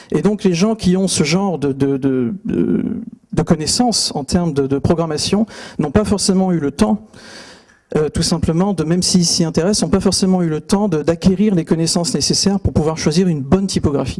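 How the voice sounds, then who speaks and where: A man's high voice with ordinary pitch variation. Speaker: typography speaker. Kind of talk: conference talk. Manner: fast; hesitant, many fillers.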